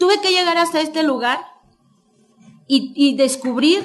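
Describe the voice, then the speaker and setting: A woman is talking. Her pitch variation is ordinary. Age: 50s. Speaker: author. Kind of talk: book presentation speech. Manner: halting.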